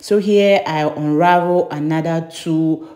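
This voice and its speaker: Over music in the background, a woman with a very deep, low pitch speaks at a very slow pace, her intonation fairly even. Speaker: beauty vlogger. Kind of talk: tutorial. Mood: cheerful, smiling. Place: bathroom. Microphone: phone near.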